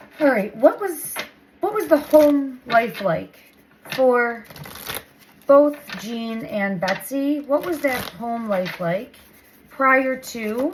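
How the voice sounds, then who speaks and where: Over noticeable background noise, a woman speaks very slowly with long, frequent pauses. Her high voice swings very widely in pitch. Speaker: tarot reader. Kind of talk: intuitive tarot reading.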